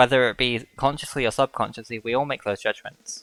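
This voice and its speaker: A man of medium pitch speaks with a British accent, the sound dry and close with no echo. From Britain. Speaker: streamer, VTuber. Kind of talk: live stream talk. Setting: live stream. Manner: halting.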